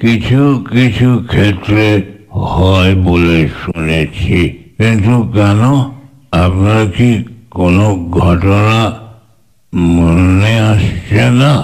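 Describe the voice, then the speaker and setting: Very slowly, a man puts on a character voice. His pitch sits fairly low. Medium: audio drama.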